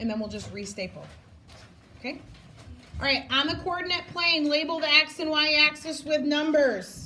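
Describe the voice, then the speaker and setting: Over noticeable background noise and audible room echo, a woman projects a raised, high-pitched voice at a moderate pace, with very wide pitch swings, big swings in loudness, and long, frequent pauses. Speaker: elementary school math teacher. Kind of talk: classroom instruction.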